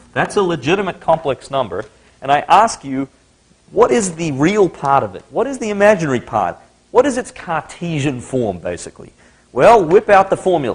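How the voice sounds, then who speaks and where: A man with an Australian accent speaks at a moderate pace in a fairly high pitch, his voice swinging very widely in pitch and showing vocal fry. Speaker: university lecturer. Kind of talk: lecture.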